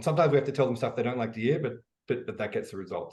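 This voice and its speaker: Somewhat breathy, a man talks with an Australian accent and ordinary pitch variation. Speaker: e-commerce educator, business founder. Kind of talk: interview. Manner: casual, animated with many fillers.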